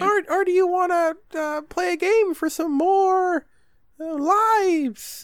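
A man speaks in a put-on character voice at an extremely high pitch. His pace is very slow. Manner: tempting.

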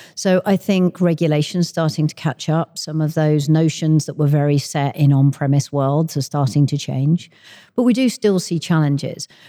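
A woman speaks in a southern English accent with a very deep, low pitch and a dark, mellow tone. The sound is dry and close with no echo, on a very clean recording with a silent background. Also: ordinary pitch variation, moderate pace. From London, England. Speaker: tech industry executive. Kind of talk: interview.

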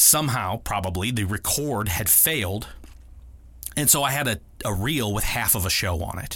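A fairly low-pitched man with an American accent, bright, sharp tone, lively intonation and moderate pace, audible room echo around him. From Ohio, Akron area. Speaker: podcast host, video producer. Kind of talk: storytelling monologue.

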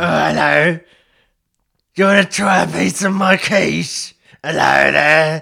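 A man performs a raspy, put-on character voice with a fairly high pitch. He goes at a fairly slow pace with long, frequent pauses. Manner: silly, sweet, inviting.

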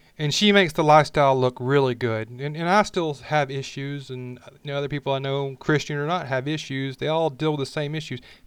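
With an Alabama accent, a man talks at a fairly quick pace and fairly high pitch, with fairly even intonation, hardly any pauses and a quiet background. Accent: Southern US (Alabama). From Alabama, US South. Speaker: podcast host. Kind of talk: personal monologue, unscripted. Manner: casual, unpolished with restarts.

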